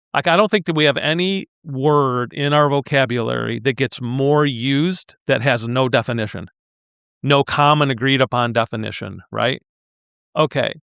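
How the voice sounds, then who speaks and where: Speaking at a moderate pace, a man uses an ordinary speaking voice at a medium pitch, with ordinary pitch variation and very even loudness. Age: 60s. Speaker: leadership consultant and executive coach. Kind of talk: podcast interview.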